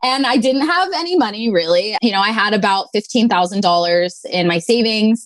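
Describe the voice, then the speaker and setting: This woman has an unremarkable speaking voice, fairly high in pitch, moving at a moderate pace with hardly any pauses and very even loudness. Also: lively intonation. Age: 20s. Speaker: sommelier. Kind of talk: casual interview.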